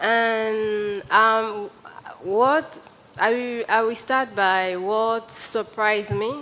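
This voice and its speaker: Very slowly, a woman speaks with a West African French accent. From Benin. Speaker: journalist. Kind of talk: panel discussion. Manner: halting.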